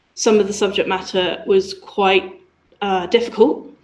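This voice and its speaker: A woman at a fairly slow pace, with ordinary pitch variation and audible room echo. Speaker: user researcher. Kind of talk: conference talk. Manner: hesitant, many fillers.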